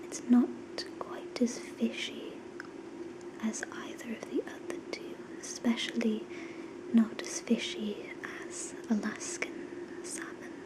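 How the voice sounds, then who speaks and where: Soft-spoken and gentle in tone, the speaker whispers very slowly with long, frequent pauses over noticeable background noise. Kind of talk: ASMR whisper talk to camera. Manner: whispered, soft, gentle.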